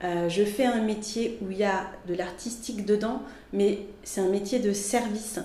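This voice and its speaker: A woman at medium pitch talks with ordinary pitch variation amid audible room echo and noticeable background noise. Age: 40s. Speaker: graphic designer and art director. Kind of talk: interview. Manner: animated; halting.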